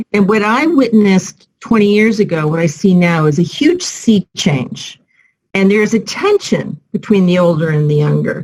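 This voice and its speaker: A woman with an American accent speaks at a moderate pace and a medium pitch. Her voice is somewhat breathy, with lively intonation and very even loudness. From United States. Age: 60s. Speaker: civil society professional. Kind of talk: panel discussion.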